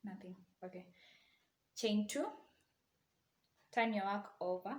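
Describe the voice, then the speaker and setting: At a fairly slow pace, a woman speaks in a somewhat breathy voice with ordinary pitch variation. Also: medium pitch for a woman. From Kenya, Eldoret. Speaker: crochet tutorial maker, university student. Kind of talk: tutorial; casual chat. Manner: casual.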